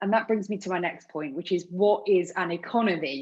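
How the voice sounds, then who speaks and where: A woman speaks at a moderate pace with a Bristol accent and a passionate tone. Her pitch is medium, with ordinary pitch variation. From England, Bristol. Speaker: panel speaker. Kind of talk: panel talk. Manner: passionate, emphatic.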